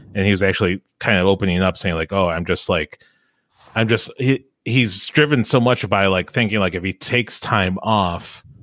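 Recorded very cleanly against a silent background, a man with an unremarkable speaking voice and a fairly low pitch talks at a moderate pace with ordinary pitch variation. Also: dry, close sound with no echo. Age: 40s. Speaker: podcast host. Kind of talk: casual chat.

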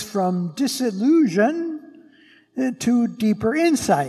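The speaker talks at a very slow pace with very wide pitch swings, and music plays in the background. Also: man. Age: 70s. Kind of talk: sermon. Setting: church.

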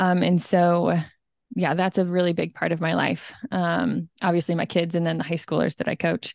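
A woman at a moderate pace and very even loudness, with a dry, close sound, no echo, and a quiet background. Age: 30s. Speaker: stay-at-home mom and running coach. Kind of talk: interview testimony. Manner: calm.

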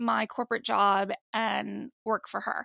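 Very slow and in a bright, sharp tone, a woman with an American accent shows ordinary pitch variation, recorded very cleanly against a silent background with a dry, close sound and no echo. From New Jersey, US. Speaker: podcast host, mental health advocate. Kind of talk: casual interview chat.

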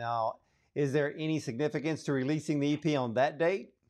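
Over a quiet background, a man talks fairly quickly in a plain, everyday voice. His pitch is fairly high, with ordinary variation. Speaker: radio show host. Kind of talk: interviewer, radio host.

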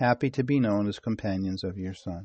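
A man speaks with fairly even intonation. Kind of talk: devotional prayer reading. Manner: fervent, earnest, solemn.

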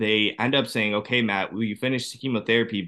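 Here is a man with an unremarkable speaking voice. His pitch is fairly low and his intonation fairly even. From Ohio, US. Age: 30s. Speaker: cancer survivor and personal trainer. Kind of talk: interview testimony.

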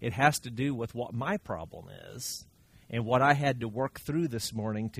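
The somewhat breathy voice moves at a moderate pace on a very clean recording with a silent background. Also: man. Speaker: Bible study teacher. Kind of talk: Bible study teaching. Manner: halting.

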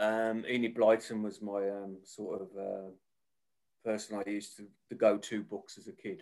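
A man speaks at a fairly slow pace with a Birmingham accent, his pitch fairly low. His intonation is flat and monotone while his loudness swings widely. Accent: Birmingham (Brummie). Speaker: author. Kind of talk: casual interview chat.

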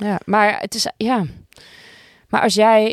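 At a very slow pace, a woman speaks with a dry, close sound and no echo. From Amsterdam, Netherlands. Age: 30s. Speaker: music supervisor for television. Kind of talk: casual interview. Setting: podcast studio.

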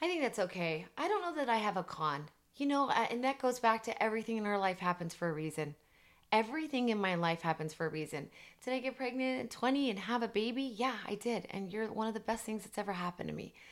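Racing at a very fast pace, a woman's fairly high voice makes very wide pitch swings in a very clean recording with a silent background. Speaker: podcast co-host, mother. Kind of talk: casual chat.

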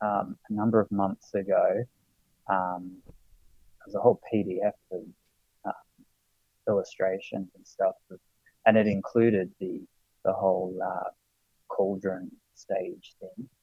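A man with an Australian accent speaks at a very slow pace, with long, frequent pauses. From Sydney, Australia. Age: 30s. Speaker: podcast guest, Olympics enthusiast. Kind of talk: casual chat. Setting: remote call.

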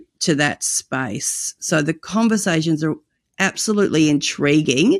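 A woman with an Australian accent and a very deep, low pitch, at a fairly slow pace, in a dry, close sound with no echo on a very clean recording against a silent background. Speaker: evangelism ministry director and podcast host. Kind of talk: interview conversation.

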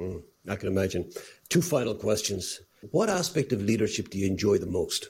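A man with an Irish accent talks at a fairly quick pace. His voice is somewhat breathy, with very wide pitch swings. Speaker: podcast host. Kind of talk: interview.

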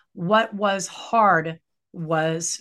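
A woman with a Western US accent against a quiet background. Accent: General American (Western US). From Colorado, outside Denver. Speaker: author and professor. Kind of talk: interview. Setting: video call.

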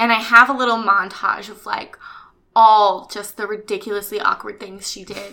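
In an American accent, a woman talks at a moderate pace with a fairly high pitch and a bright, sharp tone. Her delivery is animated, with big swings in loudness. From US West Coast, Orange County, California. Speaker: actress. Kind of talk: casual interview. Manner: animated, frequent laughter.

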